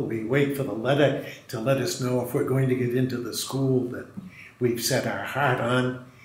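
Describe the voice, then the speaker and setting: A man with a medium-pitched voice talks at a moderate pace, with noticeable background noise and audible room echo. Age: 70s. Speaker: Jesuit priest and retreat director. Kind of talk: spiritual reflection.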